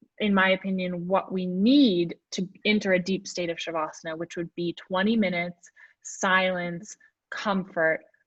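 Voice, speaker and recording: Her voice carries a somewhat breathy quality. The woman keeps a moderate pace and fairly level intonation. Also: medium pitch for a woman. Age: 30s. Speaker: yoga teacher. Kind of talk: casual chat. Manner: halting.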